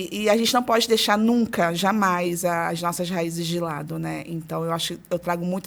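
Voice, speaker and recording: A woman with a Rio de Janeiro accent speaks at a fairly low pitch and a moderate pace, her intonation fairly even. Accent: carioca. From Rio de Janeiro, Brazil (born in Ceará). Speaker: early childhood teacher and educator. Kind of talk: podcast interview.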